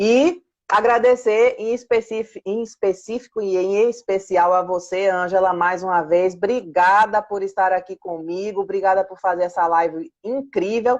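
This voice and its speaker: Warm, animated tone from a woman at medium pitch, moderate pace, ordinary pitch variation, and hardly any pauses. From Pernambuco, Brazil. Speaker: book editorial coordinator. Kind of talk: live stream chat.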